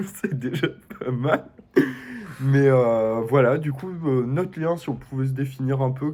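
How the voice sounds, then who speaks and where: A man's medium-pitched voice at a very slow pace, with ordinary pitch variation and long, frequent pauses. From Belgium. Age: 20s. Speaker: student, reality show applicant. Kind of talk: casual self-presentation video.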